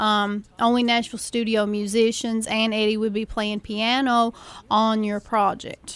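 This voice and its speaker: Monotone and flat, a woman with an Appalachian accent speaks at a fairly slow pace and a fairly high pitch in a very clean recording with a silent background. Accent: Appalachian mountain. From Eastern Kentucky (Appalachia, Floyd County). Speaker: music promoter and label owner. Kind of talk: radio interview. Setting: radio studio.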